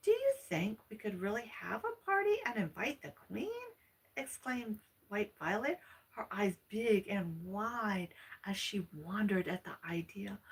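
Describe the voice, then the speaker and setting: Speaking at a fairly slow pace, a woman of medium pitch shows ordinary pitch variation and big swings in loudness. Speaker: ASMR storyteller / channel host. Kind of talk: vintage fairy tale reading aloud. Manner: soft-spoken, relaxing.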